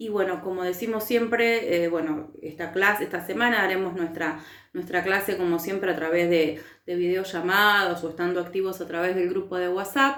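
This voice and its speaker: A woman at medium pitch talks at a moderate pace with ordinary pitch variation, and audible room echo surrounds her voice. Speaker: teacher. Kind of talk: recorded lecture.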